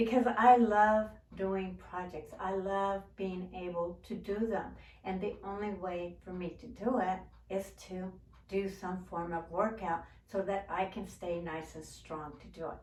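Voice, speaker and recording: A woman talks in a normal speaking voice at medium pitch. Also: fairly slow pace. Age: 60s. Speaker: gardening and DIY YouTuber. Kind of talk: casual talk to camera.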